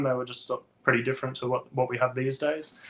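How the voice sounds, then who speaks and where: Talking at a very fast pace with an Australian accent, a man uses a fairly high pitch, a bright, sharp tone and monotone, flat intonation. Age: 30s. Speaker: toy collector and toy photographer. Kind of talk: casual interview chat. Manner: hesitant, many fillers.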